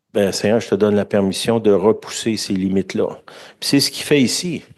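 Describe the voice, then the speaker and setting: A man with a Quebec accent speaks at a fairly quick pace, his fairly low pitch showing ordinary variation. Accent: Québécois French. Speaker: preacher. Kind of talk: sermon. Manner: conversational.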